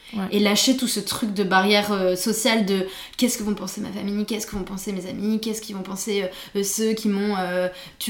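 A woman talks at a fairly quick pace in a monotone, flat intonation, with noticeable background noise behind her. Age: 30s. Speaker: illustrator and art director. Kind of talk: casual interview chat. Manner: hesitant, many fillers.

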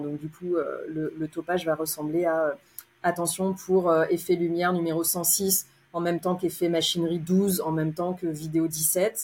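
With fairly low pitch and a flat, monotone intonation, a woman speaks at a moderate pace in a somewhat breathy voice. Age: 30s. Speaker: opera stage manager. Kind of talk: interview.

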